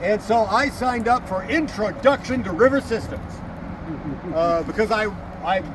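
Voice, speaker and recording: A man speaks loudly at a high pitch with ordinary pitch variation, over noticeable background noise. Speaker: historian and battlefield tour guide. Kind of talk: outdoor guided tour talk. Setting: outdoors.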